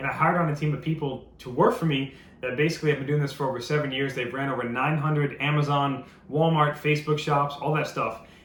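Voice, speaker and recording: This man talks at a very fast pace. Audible room echo surrounds his voice. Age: 20s. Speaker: entrepreneur, business owner. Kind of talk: sales pitch. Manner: casual, conversational with fillers.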